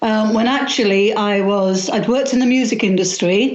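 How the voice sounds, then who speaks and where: Over noticeable background noise and audible room echo, a woman talks at a moderate pace in a medium pitch with ordinary pitch variation. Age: 60s. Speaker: witchcraft author. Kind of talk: interview.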